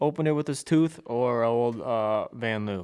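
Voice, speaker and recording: Speaking very slowly, a man keeps ordinary pitch variation. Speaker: podcast host. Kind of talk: casual chat. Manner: animated.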